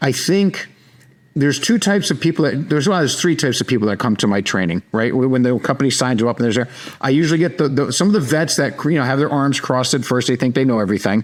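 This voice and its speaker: A man with a New York accent speaks at a very fast pace and medium pitch, with very even loudness over noticeable background noise. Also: lively intonation. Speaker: sales trainer, company founder. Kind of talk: podcast interview. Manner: direct.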